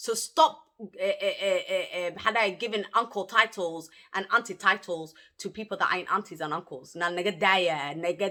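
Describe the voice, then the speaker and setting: A woman with a Somali accent speaks at a moderate pace in a medium pitch. Her intonation is lively and her tone bright and sharp. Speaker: YouTuber. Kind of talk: personal story-time monologue. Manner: animated, emphatic.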